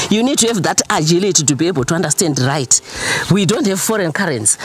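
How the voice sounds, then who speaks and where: With noticeable background noise behind her, a woman talks at a very fast pace in a fairly low pitch, her loudness very even and her pitch swinging very widely. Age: 60s. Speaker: farmer and entrepreneur. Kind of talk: interview.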